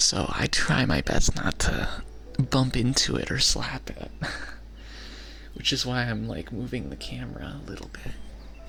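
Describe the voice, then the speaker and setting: Soft-spoken and very slow, a man talks over noticeable background noise. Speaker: ASMR content creator. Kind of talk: ASMR personal attention. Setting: binaural microphone, close to the mic.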